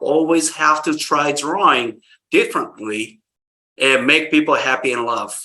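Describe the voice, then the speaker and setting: Using a fairly high pitch with ordinary variation, a man speaks slowly-ish at a fairly slow pace in a Japanese accent, his tone bright and sharp. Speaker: caricature artist. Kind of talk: interview.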